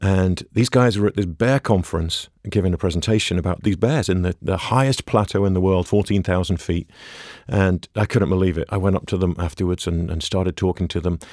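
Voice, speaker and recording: Very fast and fairly even, a man with an English accent speaks in a very deep, low voice. The sound is dry and close with no echo, on a very clean recording with a silent background. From England. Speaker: ecologist and wildlife filmmaker. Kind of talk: interview.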